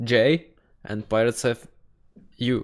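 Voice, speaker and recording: A very slow man's voice in a Czech accent, medium in pitch, on a very clean recording with a silent background. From Czech Republic. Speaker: YouTuber reacting to videos. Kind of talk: casual reaction commentary. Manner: halting.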